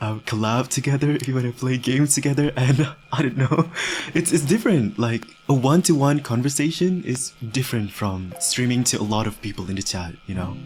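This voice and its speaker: Over music in the background, a man with a non-native accent talks fairly quickly at a medium pitch with lively intonation. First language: not English. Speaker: VTuber streamer. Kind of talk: casual chat. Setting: live stream. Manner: halting.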